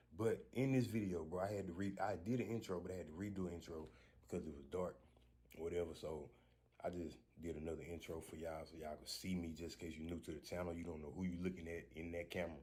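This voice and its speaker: A somewhat breathy man with a very deep, low pitch and a dark, mellow tone talks at a very fast pace with ordinary pitch variation, heard with audible room echo. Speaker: street car racer and vlogger. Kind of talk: casual vlog talk. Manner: soft-spoken.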